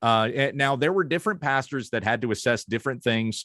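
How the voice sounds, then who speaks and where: With an American accent and an ordinary speaking voice, a man talks at a fairly quick pace with lively intonation, the sound dry and close with no echo against a quiet background. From Kansas, US Midwest. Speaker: pastor. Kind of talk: casual interview conversation.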